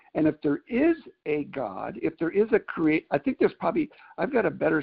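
This man has a normal speaking voice, fairly high in pitch. He talks at a moderate pace with lively intonation. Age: 60s. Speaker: caller. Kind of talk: casual discussion. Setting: conference call.

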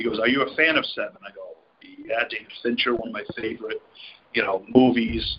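Loudness swings widely as a man talks at a fairly quick pace over noticeable background noise. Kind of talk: casual group video chat. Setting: video call.

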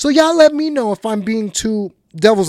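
In an animated tone, a man speaks at a high pitch with very wide pitch swings. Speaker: sports podcast host. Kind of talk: solo podcast monologue.

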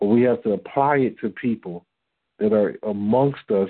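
A man with an American accent and a plain, everyday voice, fairly low in pitch, at a moderate pace with ordinary pitch variation. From Detroit, Michigan. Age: 40s. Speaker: religious teacher on a call-in fellowship line. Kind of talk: teaching talk on a conference call.

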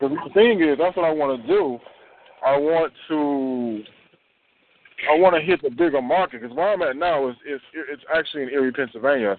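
A man with a fairly high pitch talks at a fairly quick pace. He uses a normal speaking voice with ordinary pitch variation. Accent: American. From Detroit. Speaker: sales recruit. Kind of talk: recruiting phone call.

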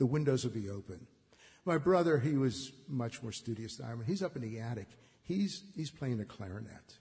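Speaking at a moderate pace with a Western Pennsylvania accent, a man has a somewhat breathy, dark, mellow tone at medium pitch with lively intonation. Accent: Western Pennsylvania American. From Braddock, near Pittsburgh, US. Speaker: filmmaker. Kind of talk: storytelling tribute. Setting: stage with audience.

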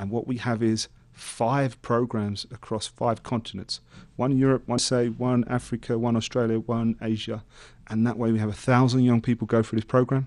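Monotone, flat delivery at a moderate pace with a London accent, over a quiet background. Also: man, medium pitch for a man. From England, East London. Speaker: motivational speaker. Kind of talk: interview testimony. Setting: studio.

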